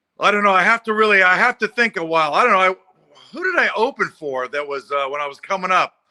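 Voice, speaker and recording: In a raised, projected voice, a man talks at a very fast pace with a high pitch, lively intonation and a bright, sharp tone, in a dry, close sound with no echo. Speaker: stand-up comedian. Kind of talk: interview. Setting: video call from home.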